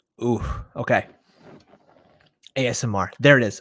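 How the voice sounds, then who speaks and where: Speaking at a moderate pace, a man uses a hoarse, put-on character voice. His pitch sits in the medium range. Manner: casual, joking.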